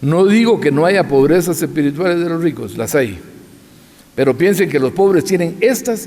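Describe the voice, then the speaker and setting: A man talks at a fairly quick pace with lively intonation and a fairly high pitch. His tone is dark and mellow, with some vocal fry. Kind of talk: lecture. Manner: fast.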